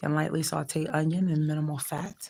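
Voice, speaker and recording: A woman's very deep, low voice with vocal fry and fairly even intonation. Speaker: vlogger. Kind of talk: live-stream recipe broadcast. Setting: hospital. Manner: slow; halting.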